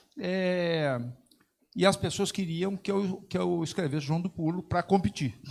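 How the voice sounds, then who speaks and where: This man's voice sits high in pitch, and its rise and fall is ordinary. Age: 70s. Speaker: sports organization president. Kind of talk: panel talk. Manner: halting, many fillers.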